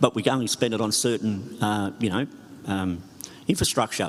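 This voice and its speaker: A man speaks in an Australian accent. His pace is fairly quick. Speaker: mayor. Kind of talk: audience question.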